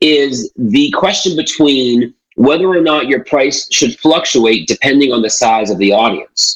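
This is an ordinary speaking voice, a man with a Canadian accent and a fairly high pitch. He talks at a fairly slow pace with hardly any pauses and ordinary pitch variation. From Canada. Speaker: motivational speaker. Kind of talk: interview.

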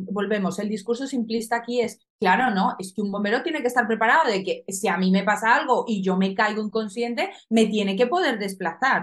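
A woman speaks at a moderate pace in a fairly high, somewhat breathy voice. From Colombia. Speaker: soldier. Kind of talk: casual chat.

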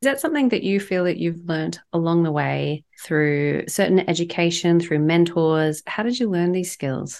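A woman speaks at a moderate pace with hardly any pauses, her pitch fairly low. Her pitch varies in an ordinary way, and she has an unremarkable speaking voice. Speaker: podcast host. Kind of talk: interview intro and conversation.

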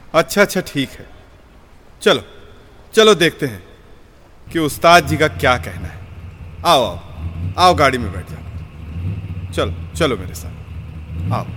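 Putting on a character voice, a man speaks slowly with long, frequent pauses, his bright, sharp tone carrying a slightly husky edge and lively intonation. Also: medium pitch for a man.

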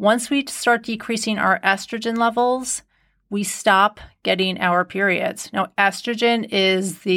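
On a very clean recording with a silent background, a woman speaks at a fairly slow pace in a normal speaking voice, her medium pitch showing ordinary variation. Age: 50s. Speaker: podcast host and nutritionist. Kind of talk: solo podcast monologue. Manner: warm, conversational.

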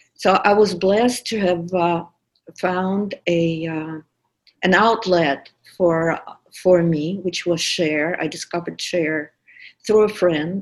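With a Russian accent, a woman speaks at a very slow pace. Her pitch is fairly low, and her intonation fairly even. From Russia, St Petersburg. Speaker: podcast producer. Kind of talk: personal testimony.

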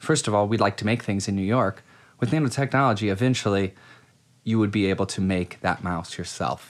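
With an American accent, a man talks at a fairly quick pace, his fairly low pitch showing ordinary variation. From US Midwest, Akron Ohio. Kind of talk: casual interview conversation.

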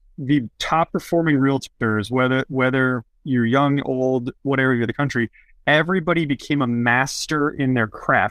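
This man has a plain, everyday voice of medium pitch with fairly even intonation. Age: 30s. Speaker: real estate podcast host. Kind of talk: interview. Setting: call.

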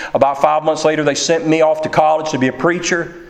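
This man has a fairly high voice. Noticeable noise sits in the background. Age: 40s. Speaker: pastor. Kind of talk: sermon. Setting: church.

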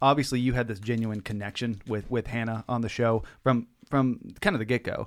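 A man with an American accent and an ordinary speaking voice, medium in pitch, fairly quick in pace, with fairly even intonation. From Texas (Temple). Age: 30s. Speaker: podcast host, coffee business owner. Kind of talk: casual interview. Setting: studio.

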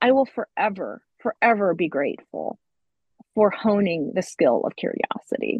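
A woman speaks with an American accent at medium pitch and with vocal fry. Her intonation is lively. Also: moderate pace. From US, rural central Pennsylvania. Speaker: podcast co-host. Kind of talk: casual chat.

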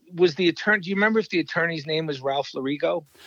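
Very fast, high-pitched speech from a man with an American accent. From New York. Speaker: ICU physician and author. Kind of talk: interview. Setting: phone call. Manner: halting, many fillers.

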